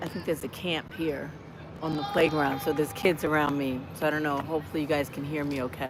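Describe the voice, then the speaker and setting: A woman with a very deep, low pitch at a very fast pace, fairly even intonation, and noticeable background noise. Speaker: lifestyle vlogger. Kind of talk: casual livestream chat. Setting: outdoors on a college campus. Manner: conversational, warm.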